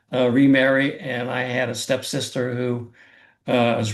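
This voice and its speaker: Speaking at a fairly slow pace, a man with an American accent keeps a monotone, flat intonation. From US Midwest, Columbus Ohio. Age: 90s. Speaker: retired air traffic controller. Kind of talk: casual interview.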